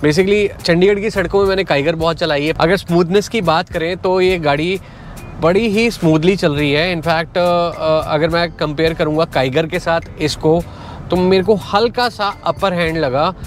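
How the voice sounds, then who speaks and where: At a fairly slow pace and with fairly even intonation, a man speaks over faint background music, the sound dry with no echo. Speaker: car reviewer driving. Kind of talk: casual vlog car review. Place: car.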